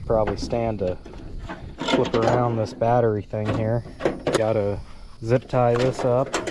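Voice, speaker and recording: Noticeable background noise accompanies talking at a fairly slow pace. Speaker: car restoration YouTuber. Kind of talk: casual vlog narration.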